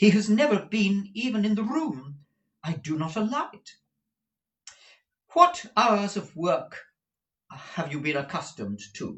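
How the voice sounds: A man does a put-on character voice with a high pitch and a fairly bright tone, speaking at a slow pace with big pitch swings and long, frequent pauses.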